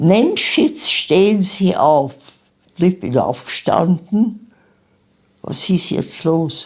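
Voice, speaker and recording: Somewhat breathy female voice at medium pitch, very slow pace. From Austria, Vienna. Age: 90s. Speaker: Holocaust survivor. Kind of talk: interview testimony.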